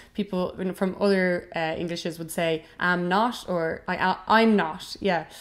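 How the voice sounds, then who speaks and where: Speaking with an Irish accent, a woman keeps a medium pitch and fairly even intonation. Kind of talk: casual educational talk to camera.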